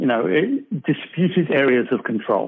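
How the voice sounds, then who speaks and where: In an American accent, a man speaks at a fairly slow pace. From England. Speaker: board game designer. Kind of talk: podcast interview.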